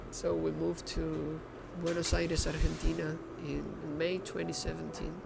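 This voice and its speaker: A man with a Venezuelan accent talks at a moderate pace. Noticeable background noise and audible room echo surround him. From Venezuela, Caracas. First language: Spanish. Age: 20s. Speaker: baker. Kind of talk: documentary interview. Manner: halting, repeats words.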